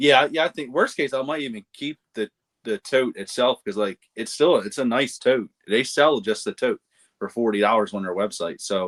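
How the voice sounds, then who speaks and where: Lively intonation at a moderate pace in a Baltimore accent, with a dry, close sound and no echo. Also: man, medium pitch for a man. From Baltimore area, Maryland (Dundalk). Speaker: podcast co-host, reseller. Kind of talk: casual chat.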